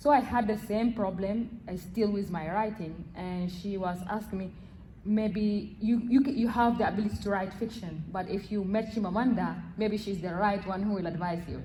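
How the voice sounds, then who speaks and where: A woman of medium pitch talks at a moderate pace with fairly even intonation, her voice echoing audibly in the room. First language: not English. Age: young. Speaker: audience member. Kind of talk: audience question. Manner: halting.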